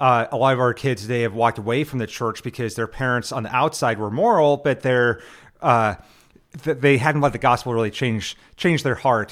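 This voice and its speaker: In a plain, everyday voice, a man with an American accent talks at a medium pitch and moderate pace with ordinary pitch variation, on a very clean recording with a silent background. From Nebraska. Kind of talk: casual religious discussion.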